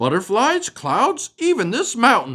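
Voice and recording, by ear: A man uses a put-on character voice, high-pitched with very wide pitch swings, a bright, sharp tone and a fairly slow pace.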